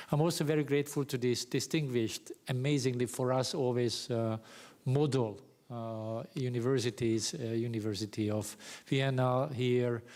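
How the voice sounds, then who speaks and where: A man with a Hungarian accent talks at medium pitch and a moderate pace, with fairly even intonation. The recording is very clean, with a silent background. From Hungary, Pécs (South Hungary). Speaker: professor. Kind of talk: lecture. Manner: halting, many fillers.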